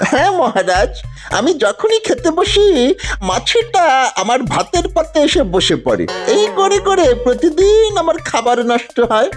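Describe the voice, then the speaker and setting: Clear music plays behind a high, cartoonish character voice that swings widely in pitch at a fairly slow pace. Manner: whiny, insistent.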